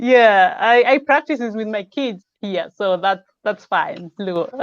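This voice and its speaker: A woman with a Kenyan accent at a fairly high pitch, speaking at a very slow pace with ordinary pitch variation. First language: Luo. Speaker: live show host. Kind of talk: casual chat.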